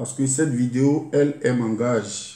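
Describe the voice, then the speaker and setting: A somewhat breathy man with an Ivorian accent and a dark, mellow tone, heard with audible room echo. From Côte d'Ivoire, Lakota (Dida). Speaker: YouTube artist, former soldier. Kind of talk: video address to the public. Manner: halting.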